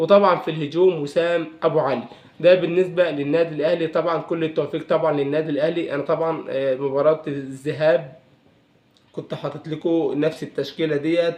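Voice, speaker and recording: A man with an Egyptian accent talks at a moderate pace. His pitch is fairly high and his intonation monotone and flat. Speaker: football commentator youtuber. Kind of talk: casual vlog. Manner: hesitant with fillers.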